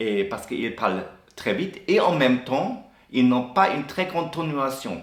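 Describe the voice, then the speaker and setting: With audible room echo, a man speaks at a very slow pace, his pitch swinging very widely. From Germany. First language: German (speaking French). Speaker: expat interviewee. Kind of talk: interview. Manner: halting, many hesitations and restarts.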